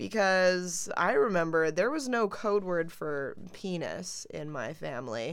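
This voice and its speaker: A woman's fairly low voice with very wide pitch swings, a fairly slow pace and hardly any pauses. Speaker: podcast co-host. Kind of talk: casual chat.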